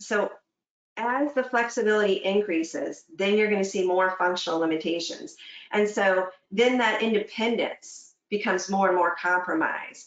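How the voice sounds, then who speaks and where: Her voice is an unremarkable speaking voice, as this woman talks at a medium pitch and a moderate pace with ordinary pitch variation and very even loudness. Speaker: fitness instructor. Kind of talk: webinar presentation. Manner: conversational, with fillers and self-corrections.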